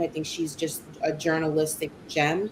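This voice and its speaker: A woman with a New York accent speaks fairly quickly in a very deep, low voice. Her tone is animated, and there is noticeable background noise. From New York City, Brooklyn and Queens. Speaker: sports broadcaster. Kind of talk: interview conversation.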